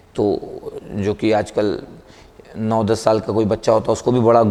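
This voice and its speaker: A man speaks against noticeable background noise. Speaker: motivational speaker and teacher. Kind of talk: motivational talk to camera.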